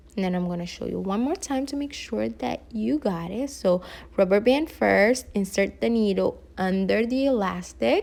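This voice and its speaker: A woman speaks with a non-native accent at a moderate pace. She leaves hardly any pauses. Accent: foreign. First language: not English. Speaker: hair tutorial vlogger. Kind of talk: tutorial. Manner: casual, hesitant.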